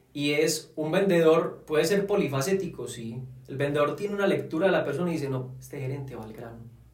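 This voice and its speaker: Room echo can be heard as a man speaks at a fairly quick pace. His pitch is fairly high and varies in an ordinary way. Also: big swings in loudness. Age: 20s. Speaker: sales consultant. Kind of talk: casual chat.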